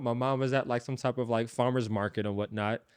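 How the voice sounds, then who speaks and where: The speaker is a man with a New York accent. The background is quiet. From New York, Brooklyn. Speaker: former tech consultant, entrepreneur. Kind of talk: casual interview.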